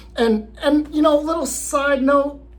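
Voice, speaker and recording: The delivery is fairly slow. Room echo can be heard around the voice. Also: man. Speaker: vlogger on living abroad and remote work. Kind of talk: casual vlog talk to camera. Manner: halting, many fillers and repeats.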